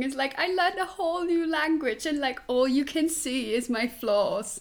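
In a Swiss German accent, a woman with a high pitch speaks in an animated tone at a moderate pace, her pitch varying in an ordinary way. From Switzerland. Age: 20s. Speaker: musical theatre performer. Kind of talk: casual interview. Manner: animated, laughs often.

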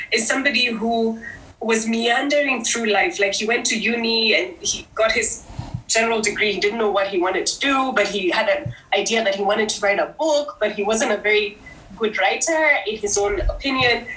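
A woman's fairly high voice with lively intonation, plus audible room echo and noticeable background noise. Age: 40s. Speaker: beauty brand founder. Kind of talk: interview.

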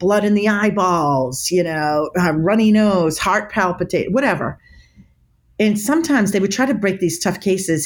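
This is a plain, everyday voice at a moderate pace. Its intonation is lively. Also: woman. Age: 50s. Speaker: body language expert. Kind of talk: interview.

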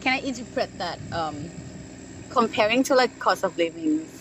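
A woman with a Thai accent speaks at a fairly slow pace, her medium-pitched voice making very wide pitch swings. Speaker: podcast host. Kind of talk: casual interview chat. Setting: rooftop bar. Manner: halting with many fillers.

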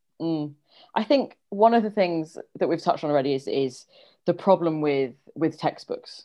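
Lively intonation from a woman with a London accent and a fairly low pitch. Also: moderate pace. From London, England. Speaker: history teacher. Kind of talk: interview.

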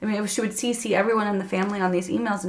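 A woman speaks at a medium pitch with ordinary pitch variation over noticeable background noise. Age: 20s. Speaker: faith testimony guest. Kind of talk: testimony.

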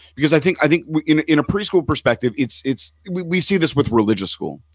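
A man's fairly high voice with vocal fry and lively intonation, dry and close with no echo. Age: 40s. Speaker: rabbi. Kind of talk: casual chat. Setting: studio. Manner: halting.

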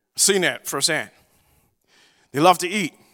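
Recorded very cleanly with a silent background and a dry, close sound free of echo, a man talks with a Southern US accent and ordinary pitch variation. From US South. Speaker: preacher. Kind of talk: sermon. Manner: halting.

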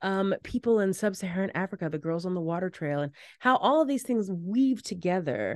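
With an American accent and an animated tone, a woman speaks at a medium pitch and fairly quick pace with lively intonation, in a dry, close sound with no echo against a quiet background. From US, Washington DC. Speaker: keynote speaker, performer and educator. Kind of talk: casual interview chat. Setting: video call.

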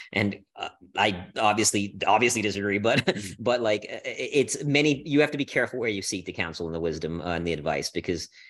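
Over a quiet background, a man with an American accent and a fairly low pitch talks at a fairly quick pace in a plain, everyday voice. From India and Singapore, then US from age 13. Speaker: polar explorer and Marine veteran. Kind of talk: casual chat.

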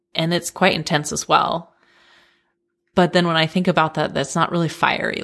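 A woman's fairly low voice with vocal fry, a fairly quick pace and an American accent. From Colorado, US (Denver). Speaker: podcast guest, friend of host. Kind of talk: casual chat. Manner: laughs often.

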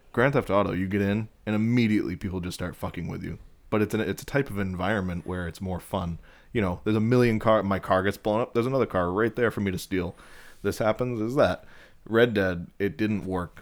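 A man with a plain, everyday voice talks at a fairly quick pace in a fairly low pitch. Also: fairly even intonation, very clean recording, silent background. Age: 30s. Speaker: podcast guest. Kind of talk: casual chat.

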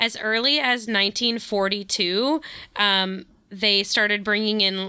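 This voice has a bright, sharp tone and moves at a fairly slow pace. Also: woman. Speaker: podcast host. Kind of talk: casual chat.

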